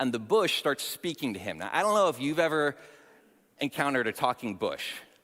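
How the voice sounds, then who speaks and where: On a very clean recording with a silent background, a man with a bright, sharp tone and vocal fry speaks at a moderate pace, his pitch swinging very widely. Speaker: youth pastor. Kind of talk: sermon. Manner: occasional stutter.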